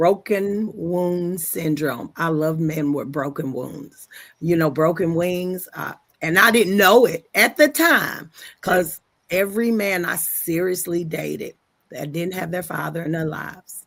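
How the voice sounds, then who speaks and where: A woman's normal speaking voice, a normal speaking voice with fairly low pitch, ordinary pitch variation and a fairly slow pace. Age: 60s. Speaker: podcast host. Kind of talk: casual chat. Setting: live stream.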